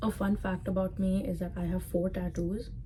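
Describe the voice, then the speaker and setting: A strong Indian accent comes through with audible room echo and noticeable background noise. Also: woman. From Dubai, Indian community. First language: Sindhi. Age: 20s. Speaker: content creator. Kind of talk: casual vlog talk to camera.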